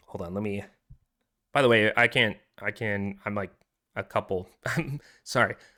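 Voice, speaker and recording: A man's voice carries a bright, sharp tone with ordinary pitch variation. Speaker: podcast host. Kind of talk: casual chat. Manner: casual, filler-heavy.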